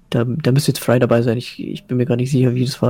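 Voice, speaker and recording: A man speaks very fast in a somewhat breathy voice. His pitch is medium and his tone is dark and mellow. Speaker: gamer and commentator. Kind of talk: casual chat. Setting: live Twitch stream.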